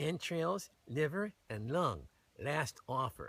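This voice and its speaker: A man puts on a whiny character voice, fairly high in pitch with lively intonation. He speaks at a very slow pace. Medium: read story. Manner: whining, wheedling.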